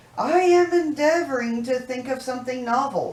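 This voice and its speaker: At a moderate pace, a man performs a put-on character voice with an extremely high pitch. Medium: read story. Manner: feeble, abstracted.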